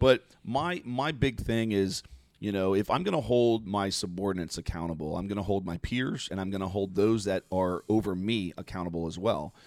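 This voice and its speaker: A man with an American accent and a fairly low pitch, at a moderate pace with hardly any pauses and ordinary pitch variation, in a very clean recording with a silent background. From Florida (Mount Dora). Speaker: retired fire battalion commander. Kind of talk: casual interview chat. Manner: halting, many fillers.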